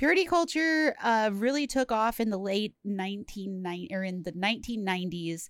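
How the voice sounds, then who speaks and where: A woman with a normal speaking voice and fairly high pitch talks at a moderate pace with hardly any pauses and lively intonation. The recording is very clean, with a silent background. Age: 30s. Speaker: horror podcast co-host. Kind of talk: casual chat.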